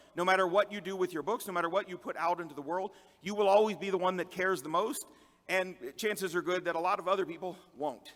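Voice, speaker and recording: A man speaks in a high-pitched voice with a bright, sharp tone. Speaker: conference speaker and fantasy author. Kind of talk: conference talk. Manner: fast.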